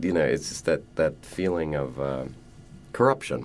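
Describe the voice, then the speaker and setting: Music in the background behind a man talking at a moderate pace. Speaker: stage actor. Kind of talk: interview.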